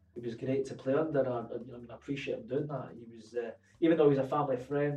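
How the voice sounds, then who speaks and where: Very fast and monotone, a man speaks with flat intonation at medium pitch. He has a Scottish accent. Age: 30s. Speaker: professional footballer. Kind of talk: casual chat.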